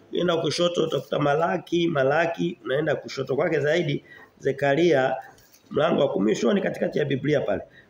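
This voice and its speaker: Audible room echo and light background noise surround a man. He speaks at a fairly quick pace with ordinary pitch variation. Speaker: preacher. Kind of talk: sermon. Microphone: phone near.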